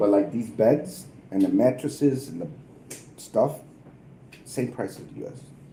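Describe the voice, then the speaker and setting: Speaking at a moderate pace in an American accent, a man has a dark, mellow tone with vocal fry. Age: 50s. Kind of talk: casual chat.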